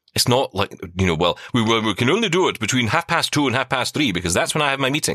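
Bright, sharp speech races by at a very fast pace with very wide pitch swings. The sound is dry and close with no echo, on a very clean recording with a silent background. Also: man. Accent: Scottish. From Scotland. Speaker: podcaster, former radio worker, blind tech presenter. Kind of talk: casual interview chat.

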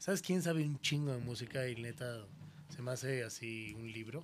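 A normal speaking voice, moderately paced, its pitch varying in an ordinary way. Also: man. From Mexico City. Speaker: radio host. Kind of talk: casual chat.

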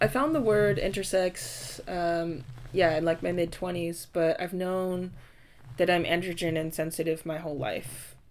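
In a normal speaking voice, a woman talks at a fairly slow pace and a fairly low pitch with ordinary pitch variation. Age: 30s. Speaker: intersex advocate. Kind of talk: casual chat.

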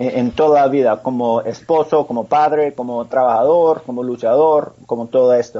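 With an American accent, a man speaks at a moderate pace in a fairly high pitch and fairly even intonation. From US, Pennsylvania. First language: English (speaking Spanish). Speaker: former mixed martial arts fighter and motivational speaker. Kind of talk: interview. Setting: remote call from home. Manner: halting.

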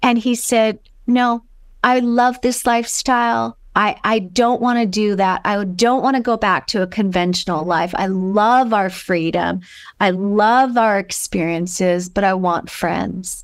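In an American accent, a woman with an ordinary speaking voice talks at a fairly slow pace in a medium pitch, with ordinary pitch variation, very even loudness, and a very clean recording with a silent background. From US West Coast, Los Angeles. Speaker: author and alternative education advocate. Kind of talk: interview storytelling.

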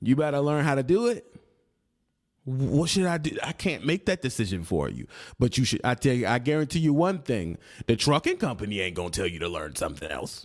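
With an American accent, a man talks at a fairly quick pace and medium pitch, his voice showing vocal fry and very wide pitch swings, on a very clean recording with a silent background. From United States. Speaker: trucking vlogger. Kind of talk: angry rant. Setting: solo video channel. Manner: aggressive, loud, confrontational, scolding the audience; emphatic, punchy, street slang, repeats for emphasis.

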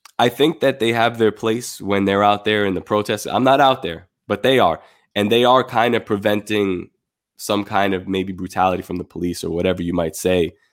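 A man talks at a fairly quick pace in a plain, everyday voice, fairly low in pitch with ordinary pitch variation. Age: 30s. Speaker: artist and designer. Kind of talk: casual chat.

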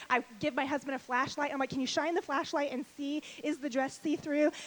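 Over noticeable background noise, a woman talks very fast in a high, bubbly and cheerful voice. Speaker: conference speaker. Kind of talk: casual, chatty. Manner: fast talker; bubbly, cheerful.

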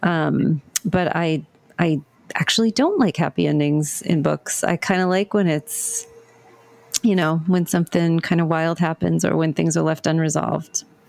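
At a moderate pace, a woman with a fairly low pitch and fairly even intonation speaks in a dry, close sound with no echo, over noticeable background noise. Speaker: podcast host and mystery author. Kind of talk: interview podcast.

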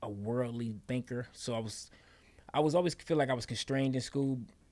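A man with an American accent and an unremarkable speaking voice talks at a fairly quick pace in a medium pitch, with ordinary pitch variation. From Detroit, Michigan. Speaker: former pro football player and actor. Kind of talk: interview conversation.

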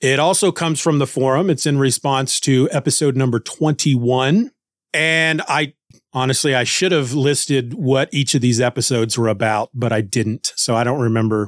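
In a very clean recording with a silent background and a dry, close sound with no echo, a man with an unremarkable speaking voice talks at a moderate pace, his pitch fairly high with ordinary variation. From Kansas, US Midwest. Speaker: podcast host. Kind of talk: casual chat.

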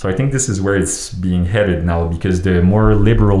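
Against noticeable background noise, a man talks in a very deep, low pitch with fairly even intonation. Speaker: podcast host. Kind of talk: casual chat. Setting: studio.

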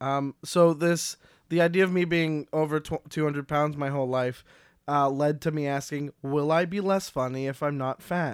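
The recording is very clean, with a silent background. A man with a fairly high pitch speaks at a moderate pace. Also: dry, close sound with no echo. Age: 20s. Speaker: comedian. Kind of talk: casual chat. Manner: animated.

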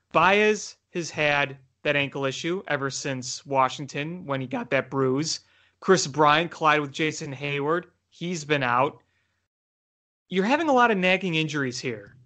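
A man speaks in an ordinary speaking voice, fairly high in pitch, at a moderate pace with ordinary pitch variation. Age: 20s. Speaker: sports podcast host. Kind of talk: casual sports chat.

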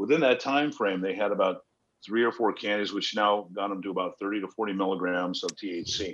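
A man with an American accent speaks in a plain, everyday voice. His pitch is fairly low, with ordinary variation. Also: moderate pace. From Los Angeles. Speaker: cannabis company founder, former actor. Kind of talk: casual interview.

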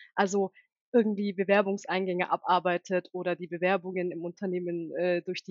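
Her speech is monotone and flat, with the woman holding a medium pitch at a moderate pace. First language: Turkish (bilingual with German) (speaking German). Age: 30s. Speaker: recruiting and HR manager. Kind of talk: interview.

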